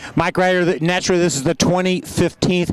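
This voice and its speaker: A high-pitched man speaks with a dry, close sound with no echo, over noticeable background noise. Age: 60s. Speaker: parade announcer. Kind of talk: live commentary. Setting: outdoors.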